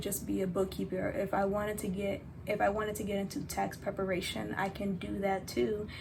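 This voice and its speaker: A somewhat breathy woman at a moderate pace, with audible room echo. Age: 20s. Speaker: vlogger. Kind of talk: casual vlog talk.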